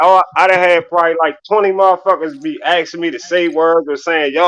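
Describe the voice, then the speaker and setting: A man talks at a fairly quick pace with a Baltimore accent. His pitch is high, with ordinary variation. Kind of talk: casual, informal.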